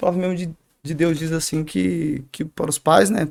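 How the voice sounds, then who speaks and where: The sound is dry and close with no echo as a man with a fairly high pitch speaks with ordinary pitch variation. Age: 20s. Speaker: barber shop owner and church youth leader. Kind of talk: testimony. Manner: hesitant, with frequent fillers and repetitions.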